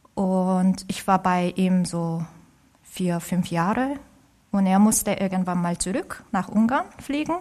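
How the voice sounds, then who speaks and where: In a Korean accent, a woman speaks at a medium pitch and a very slow pace with ordinary pitch variation. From South Korea. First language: Korean (speaking German). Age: 30s. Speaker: orchestra violinist. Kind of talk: interview. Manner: halting.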